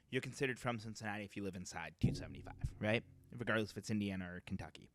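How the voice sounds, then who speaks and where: A man with an American accent, fairly low in pitch with ordinary pitch variation, talking at a very fast pace over music in the background. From Boston area, Metro West. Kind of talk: casual chat.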